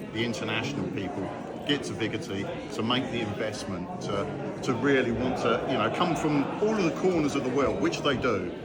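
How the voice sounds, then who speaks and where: Lively intonation and a fairly quick pace come through audible room echo and noticeable background noise. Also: man. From southern England, Brighton. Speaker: goth festival community organiser. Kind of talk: casual interview. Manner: animated.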